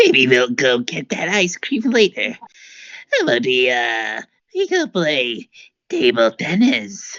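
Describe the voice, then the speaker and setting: Using a put-on character voice, a man speaks at a high pitch in a raspy tone at a fairly slow pace. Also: dry, close sound with no echo. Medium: read story. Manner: hesitant, fumbling.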